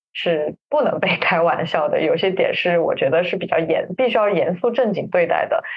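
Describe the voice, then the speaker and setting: This woman speaks at a moderate pace with hardly any pauses. Her loudness stays very even throughout. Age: 30s. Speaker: podcast co-host. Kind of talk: casual chat. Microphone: backup recording, poor sound quality.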